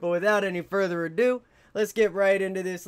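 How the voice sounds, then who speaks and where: Here a man talks at a fairly quick pace. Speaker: reaction video host. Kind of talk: casual reaction commentary. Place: home room. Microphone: studio mic.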